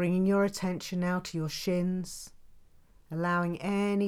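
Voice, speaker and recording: With a calm, soothing tone, the speech runs in a monotone, flat intonation. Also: woman. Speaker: yoga and meditation teacher. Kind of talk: guided meditation. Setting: home recording. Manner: slow, calm, soothing, gentle and evenly paced.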